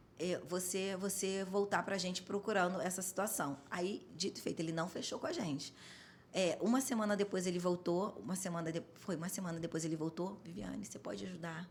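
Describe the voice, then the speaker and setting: A woman with a medium-pitched voice speaks at a fairly quick pace in an animated tone. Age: 40s. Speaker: home care business owner. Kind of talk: podcast interview.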